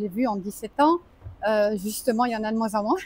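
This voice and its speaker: This woman's fairly high, somewhat breathy voice has ordinary pitch variation and a dry, close sound with no echo. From French Alps. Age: 60s. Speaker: expat entrepreneur, AI trainer. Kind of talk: interview. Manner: halting, many hesitations.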